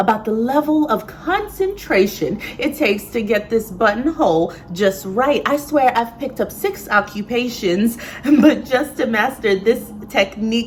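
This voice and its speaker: Against noticeable background noise, a woman speaks fairly slowly, her fairly high pitch carrying lively intonation. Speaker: sewist and poet. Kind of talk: slam poetry performance. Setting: live venue.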